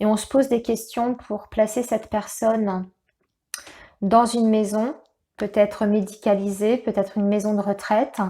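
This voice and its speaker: A woman talks at a moderate pace with a fairly high pitch. The recording is very clean, with a silent background. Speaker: tarot reader. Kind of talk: tarot reading guidance. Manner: halting, stumbling over words.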